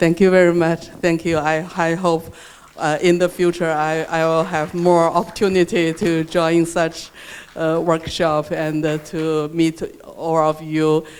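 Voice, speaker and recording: The speaker talks at a fairly slow pace with a Chinese accent. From China. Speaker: researcher. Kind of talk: workshop reflection remarks. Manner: halting, many fillers and repetitions.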